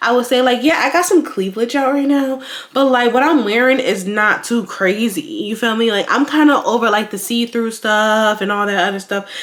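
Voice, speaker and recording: A woman with a fairly high voice speaks in an animated tone with ordinary pitch variation. She barely pauses, and noticeable background noise is present. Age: 20s. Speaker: lifestyle vlogger. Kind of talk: casual vlog monologue. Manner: fast.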